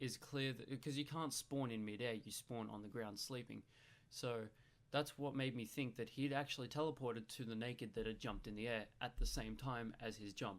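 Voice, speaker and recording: A man with an Australian accent speaks at a medium pitch and a fairly quick pace. His pitch varies in an ordinary way. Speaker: gaming youtuber. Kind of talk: video commentary.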